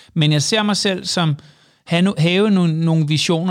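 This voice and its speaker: Fairly quick pace from a man, pitch variation ordinary. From Jutland, Denmark. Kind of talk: casual interview. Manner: halting, many fillers and repetitions.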